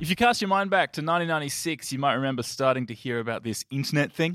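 With an Australian accent and ordinary pitch variation, the voice comes through a very clean recording with a silent background and a dry, close sound with no echo. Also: man. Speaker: film podcast host. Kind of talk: casual chat about films.

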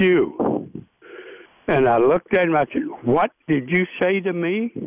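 A man speaks at a fairly slow pace in a Tennessee accent, his pitch high. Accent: Southern US (Tennessee). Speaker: retired baseball pitcher. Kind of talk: interview storytelling. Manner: animated.

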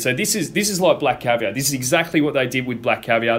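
Upbeat in tone, a man with an Australian accent speaks at a medium pitch. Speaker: racing broadcaster and podcast host. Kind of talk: casual chat. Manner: conversational, upbeat.

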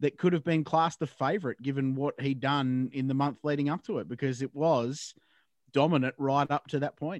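With an Australian accent, a man talks at a fairly high pitch with ordinary pitch variation, and the sound is dry and close with no echo. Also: quiet background. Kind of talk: interview and chat.

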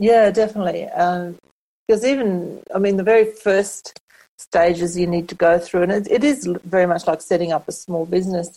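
In an Australian accent, a woman talks at a moderate pace with medium pitch, a dark, mellow tone and ordinary pitch variation. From Australia, rural Queensland (Kingaroy). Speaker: book coach and self-publishing consultant. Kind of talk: interview conversation.

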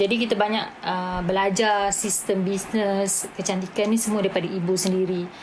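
A woman talks at a moderate pace in a flat monotone, with hardly any pauses and very even loudness, while room echo and noticeable background noise can be heard. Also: medium pitch for a woman. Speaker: beauty academy CEO. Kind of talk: casual chat.

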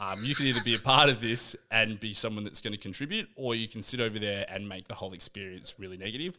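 A man with an Australian accent, fairly low in pitch, at a very fast pace. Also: ordinary pitch variation, hardly any pauses. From Australia, Canberra. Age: 30s. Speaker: fitness coach and nanny. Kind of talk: casual chat. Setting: studio.

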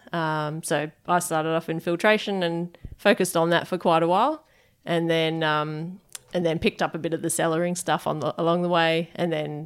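A woman with an Australian accent, fairly low-pitched, at a fairly quick pace, with monotone, flat intonation. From Perth, Western Australia. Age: 30s. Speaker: head brewer. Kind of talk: interview. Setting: brewery offices.

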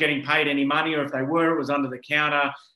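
The tone is bright and sharp. The speaker has an Australian accent. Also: man. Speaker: podcast host. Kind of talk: interview. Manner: halting.

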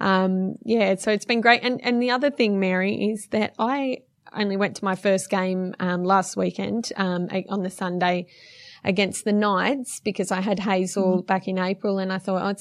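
In an Australian accent, a woman talks at a moderate pace and medium pitch. Her intonation is fairly even, and the background is quiet. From western Sydney, Australia. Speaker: footballer's wife. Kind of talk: interview.

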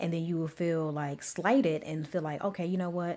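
A woman talks at a very fast pace in a dark, mellow tone with a fairly low pitch. The recording is very clean, with a silent background. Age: 30s. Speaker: podcast co-host. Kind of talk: casual chat.

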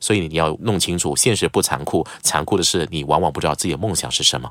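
A speaker with lively intonation and vocal fry. The recording is very clean, with a silent background. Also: man. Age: 40s. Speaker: news anchor. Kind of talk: casual chat.

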